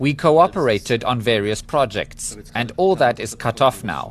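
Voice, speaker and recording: This man speaks with a German accent. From East Germany. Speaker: scientist. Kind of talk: interview.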